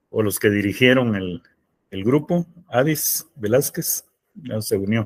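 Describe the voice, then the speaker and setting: A man speaks at a medium pitch with lively intonation. His pace is very slow. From Guatemala. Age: 70s. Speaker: brother of a remembered student martyr, speaker. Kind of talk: panel talk answering audience.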